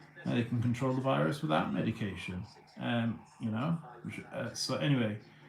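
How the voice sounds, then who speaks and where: Medium-pitched male speech with a British accent, very wide pitch swings, and a fairly quick pace over noticeable background noise. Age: 30s. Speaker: livestreamer. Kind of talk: casual livestream monologue. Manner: halting, many repeated words.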